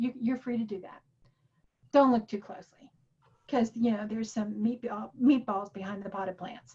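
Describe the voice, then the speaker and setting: A woman's voice with an animated tone. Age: 60s. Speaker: workshop teacher. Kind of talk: lecture.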